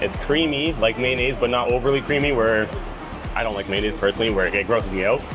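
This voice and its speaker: Over clear background music, a man talks at a very fast pace with ordinary pitch variation. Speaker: food vlogger. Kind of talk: casual food review. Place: cafe. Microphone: camera far.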